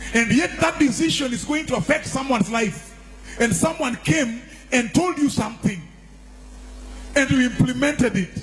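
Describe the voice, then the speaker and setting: This man has a Kenyan accent and an extremely high pitch, with lively intonation. He talks at a moderate pace over noticeable background noise. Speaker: church leader, deputy archbishop. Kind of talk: sermon.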